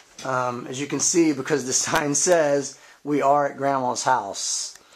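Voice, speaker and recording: Fairly high in pitch, a man speaks with fairly even intonation in an ordinary speaking voice. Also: fairly slow pace. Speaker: fitness channel host. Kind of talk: casual interview questions.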